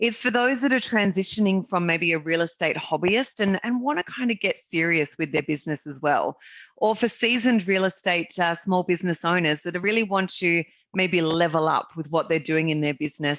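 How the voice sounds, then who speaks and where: At a fairly quick pace, a woman with an Australian accent speaks in a fairly low pitch with ordinary pitch variation, the sound dry and close with no echo over a quiet background. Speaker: real estate business owner presenting a marketing service. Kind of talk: webinar sales presentation.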